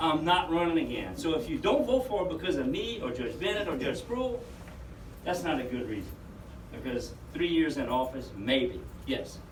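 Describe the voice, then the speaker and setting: A man's fairly high voice with very wide pitch swings, a moderate pace, noticeable background noise and audible room echo. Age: 60s. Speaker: judge. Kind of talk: public meeting presentation.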